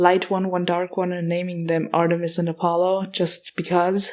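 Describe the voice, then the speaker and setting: A woman with an Austrian accent speaks in a dark, mellow tone at a fairly low pitch, her intonation monotone and flat. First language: German (Austrian dialect). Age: 20s. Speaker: podcast host. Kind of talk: casual Q&A monologue. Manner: casual, hesitant.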